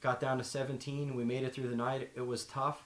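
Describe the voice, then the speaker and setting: A man with a Pennsylvania accent, medium in pitch, in a monotone, flat delivery. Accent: Pennsylvania (Mid-Atlantic US). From Pennsylvania, Schuylkill Haven. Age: 30s. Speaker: outdoor gear presenter. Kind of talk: gear tutorial; casual introduction.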